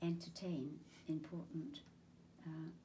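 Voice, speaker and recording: Dark and mellow in tone, with vocal fry, the voice carries a southern English accent and fairly even intonation. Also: woman. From Chingford, Essex, England. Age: 80s+. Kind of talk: interview answer.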